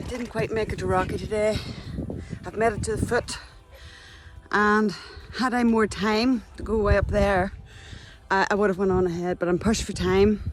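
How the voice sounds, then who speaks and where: In a Northern Irish accent, a woman of medium pitch speaks at a moderate pace with monotone, flat intonation and long, frequent pauses. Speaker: hiking vlogger. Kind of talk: outdoor vlog. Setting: outdoors, mountain hike.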